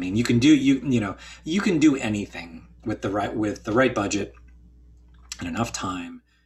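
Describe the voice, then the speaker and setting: A man with an American accent and vocal fry speaks at a moderate pace with ordinary pitch variation. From US, central northern New Jersey. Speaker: visual effects studio executive. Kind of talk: interview. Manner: hesitant, many fillers.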